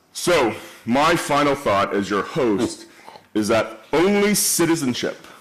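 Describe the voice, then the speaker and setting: Within audible room echo, a man with a fairly high pitch speaks at a very slow pace, with very wide pitch swings and very even loudness. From Canada. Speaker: event host, moderator. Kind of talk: moderated panel discussion. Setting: stage with audience.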